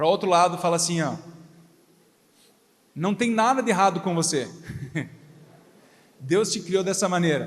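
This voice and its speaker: Pausing long and often, a man with a high pitch and ordinary pitch variation speaks at a moderate pace, with audible room echo. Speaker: pastor. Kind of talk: sermon. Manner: not shouting, calm.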